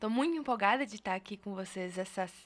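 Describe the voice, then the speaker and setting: With a São Paulo accent, a woman talks at a fairly quick pace in a medium pitch, her intonation lively. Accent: São Paulo (paulista). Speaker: researcher, co-director of a digital rights institute. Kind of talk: podcast interview.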